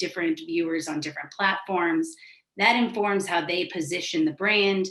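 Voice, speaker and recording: Here a woman speaks at a moderate pace with a medium pitch. She has an unremarkable speaking voice. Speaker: digital content consultant. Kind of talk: webinar presentation.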